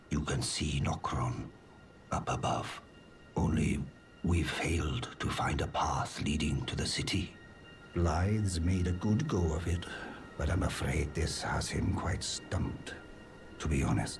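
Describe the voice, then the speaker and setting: In a put-on character voice, a man speaks with a very deep, low pitch at a fairly slow pace with long, frequent pauses, while music plays clearly in the background. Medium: video game. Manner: courteous, earnest.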